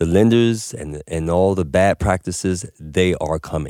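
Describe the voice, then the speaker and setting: In a New York accent, the speaker goes at a fairly slow pace with ordinary pitch variation, the sound dry and close with no echo in a very clean recording with a silent background. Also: man. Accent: New York City. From Harlem, New York City. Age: 50s. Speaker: cannabis business owner. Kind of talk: casual chat. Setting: studio.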